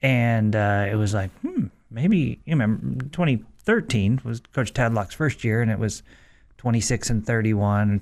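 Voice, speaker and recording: A man with an ordinary speaking voice, medium pitch and moderate pace, on a very clean recording with a silent background. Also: ordinary pitch variation. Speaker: radio host. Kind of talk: casual sports talk radio chat. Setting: radio studio.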